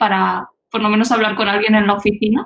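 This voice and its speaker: A woman talks in a fairly high pitch, somewhat breathy, with monotone, flat intonation. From Spain, Albacete. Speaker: teacher and startup founder. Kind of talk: interview.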